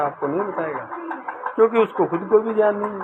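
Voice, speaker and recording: A man's high voice set against noticeable background noise. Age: 60s. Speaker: devotional singer and storyteller. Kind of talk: religious storytelling talk; channel promotion talk.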